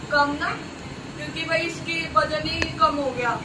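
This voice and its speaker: A woman speaks quietly at a high pitch. Noticeable background noise and audible room echo surround her voice. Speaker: vlogger. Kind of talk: casual vlog talk. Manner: slow, quiet.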